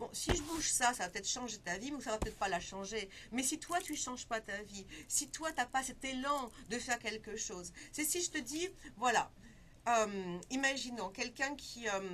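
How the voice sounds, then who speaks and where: The woman's voice is high-pitched, with a bright, sharp tone. Her intonation is lively. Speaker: feng shui consultant and life coach. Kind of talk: interview. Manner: fast.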